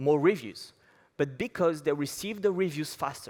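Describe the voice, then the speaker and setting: On a very clean recording with a silent background, a man with a French accent talks at a moderate pace. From France. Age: 20s. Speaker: app company founder. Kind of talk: conference talk. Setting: stage with audience.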